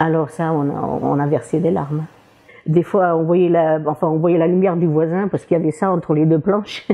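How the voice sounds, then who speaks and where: With a Portuguese accent, a woman speaks at a fairly low pitch and a moderate pace, her intonation fairly even. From Portugal. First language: Portuguese (speaking French). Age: 60s. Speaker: retired cleaning lady. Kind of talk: interview testimony. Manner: halting, many hesitations; cheerful, often laughing.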